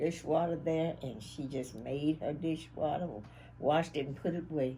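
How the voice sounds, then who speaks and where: Very deep, low pitch from a woman, somewhat breathy with a dark, mellow tone, ordinary pitch variation and a moderate pace. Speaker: interviewee recalling family history. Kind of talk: interview answer.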